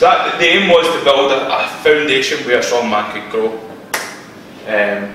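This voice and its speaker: Strong room echo and light background noise surround a man speaking at a moderate pace with ordinary pitch variation. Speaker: presenter. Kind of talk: lecture. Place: meeting room. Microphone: camera far.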